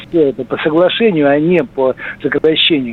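Noticeable background noise sits behind a man's voice. He speaks fairly high in pitch with ordinary pitch variation. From Russia, Saratov. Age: 60s. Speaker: caller. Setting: phone call.

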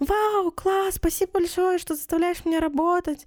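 A put-on character voice at a moderate pace, with a dry, close sound and no echo. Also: woman, extremely high pitch for a woman. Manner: mock enthusiastic, ironic.

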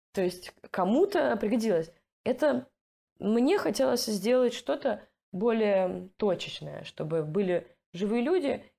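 A woman speaks at a very slow pace with long, frequent pauses, keeping a very even loudness. Her fairly high voice has very wide pitch swings, vocal fry and a dark, mellow tone. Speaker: product manager and volunteer project coordinator. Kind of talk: casual interview.

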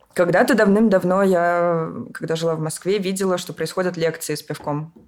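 This woman has a normal speaking voice with fairly low pitch. She talks at a moderate pace with ordinary pitch variation. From Moscow region, Russia. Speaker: event organizer. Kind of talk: casual chat.

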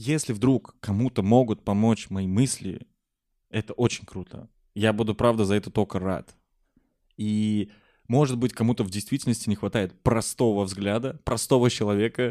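A man with a fairly low pitch and a dark, mellow tone speaks at a moderate pace, his intonation fairly even and his pauses long and frequent. The recording is very clean with a silent background and a dry, close sound with no echo. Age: 20s. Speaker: podcast host. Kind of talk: casual chat.

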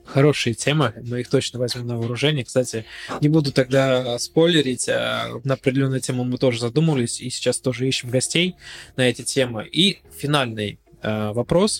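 A man speaks at medium pitch with ordinary pitch variation. Noticeable background noise runs under his voice. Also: moderate pace. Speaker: podcast host. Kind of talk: interview.

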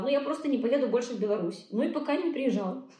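A woman talks at a very fast pace. Audible room echo and noticeable background noise come through. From Belarus. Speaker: blogger and coach. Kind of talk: casual interview. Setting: video call.

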